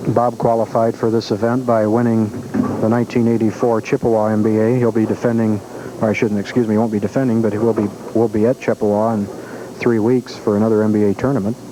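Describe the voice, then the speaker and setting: A man speaks very fast at a medium pitch, his intonation monotone and flat. His loudness stays very even, and there is noticeable background noise. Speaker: bowling commentator. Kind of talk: live commentary. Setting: bowling alley. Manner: soft-spoken.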